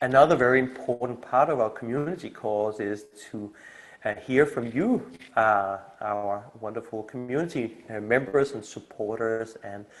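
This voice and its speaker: This man has a Danish accent, a medium pitch, ordinary pitch variation and a moderate pace, with big swings in loudness. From Denmark. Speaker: community initiator and coach. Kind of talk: video call community meeting presentation. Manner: halting, many fillers.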